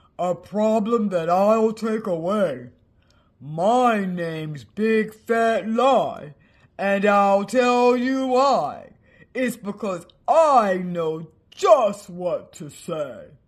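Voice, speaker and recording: Using a put-on character voice with a fairly high pitch, the speaker talks at a very slow pace against a quiet background. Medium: read story. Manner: boastful.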